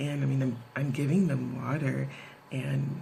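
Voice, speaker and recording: Whispering at a fairly slow pace, a woman is heard with audible room echo and noticeable background noise. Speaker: video blogger. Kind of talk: casual vlog talk.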